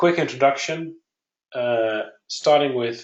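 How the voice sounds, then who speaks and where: A man with a Dutch accent and ordinary pitch variation. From Netherlands. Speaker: software company founder. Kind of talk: webinar presentation. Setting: online webinar.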